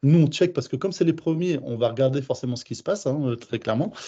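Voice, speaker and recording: A somewhat breathy man's voice, fairly high in pitch, with ordinary pitch variation. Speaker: home care service manager. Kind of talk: webinar presentation. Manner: fast.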